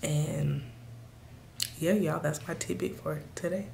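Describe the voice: A woman speaks slowly in a low, raspy voice with vocal fry, a dark, mellow tone and ordinary pitch variation.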